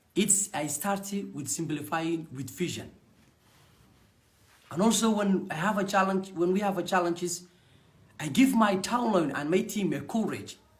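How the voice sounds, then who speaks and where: A high-pitched man with a Somali accent, moderate pace, ordinary pitch variation, and long, frequent pauses. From Somalia. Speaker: network marketing distributor. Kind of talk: personal testimony.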